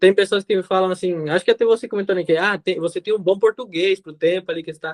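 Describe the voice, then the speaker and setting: Talking at a very fast pace, a man with a Spanish accent uses a high pitch and fairly even intonation. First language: Spanish (speaking Portuguese). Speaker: podcast guest. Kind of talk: casual chat.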